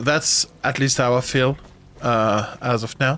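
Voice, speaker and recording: A man with a French accent, medium pitch and ordinary pitch variation. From France. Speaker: gaming streamer. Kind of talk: live stream chat while gaming. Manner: halting.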